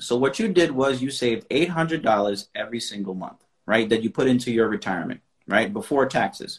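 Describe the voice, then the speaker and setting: A man speaks at a medium pitch with lively intonation in an unremarkable speaking voice. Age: 30s. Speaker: finance coach. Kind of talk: casual chat.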